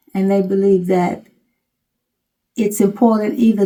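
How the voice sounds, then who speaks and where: A woman speaks in a somewhat breathy voice with a dark, mellow tone. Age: 80s+. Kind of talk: interview.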